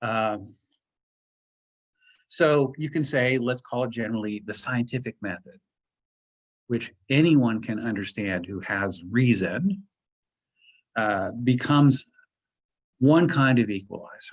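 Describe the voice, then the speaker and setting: Talking at a fairly slow pace with long, frequent pauses, a man at medium pitch uses lively intonation. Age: 60s. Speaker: professor. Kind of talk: lecture. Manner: halting, many fillers and repetitions.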